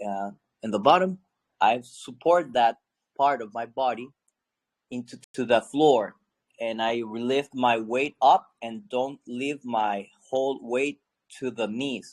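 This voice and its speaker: A man speaks at a very slow pace with long, frequent pauses. His voice sits at a medium pitch with ordinary variation, and the sound is dry and close with no echo. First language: not English. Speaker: class participant. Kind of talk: casual chat. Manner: halting.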